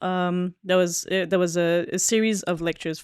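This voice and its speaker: A woman with a medium-pitched voice speaks at a moderate pace in a dry, close sound with no echo. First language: not English. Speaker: podcast co-host. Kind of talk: casual chat. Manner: halting, many fillers.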